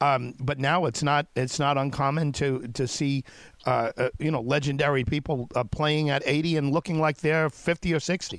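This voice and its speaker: A man has a plain, everyday voice at a fairly high pitch, with fairly even intonation and very even loudness at a moderate pace. The recording is very clean with a silent background and a dry, close sound with no echo. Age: 50s. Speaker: radio host. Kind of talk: radio interview.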